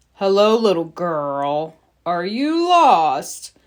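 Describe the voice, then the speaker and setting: On a very clean recording with a silent background, a woman puts on a character voice at a medium pitch and a very slow pace. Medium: read story.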